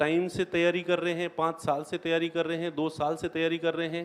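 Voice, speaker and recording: A man with a high pitch. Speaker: coaching teacher for competitive exams. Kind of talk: motivational seminar talk.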